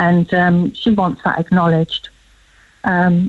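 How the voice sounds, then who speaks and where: Recorded dry and close with no echo, a woman speaks at a moderate pace and medium pitch, her voice somewhat breathy. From London, England. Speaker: campaigner for a relative. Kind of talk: radio phone interview.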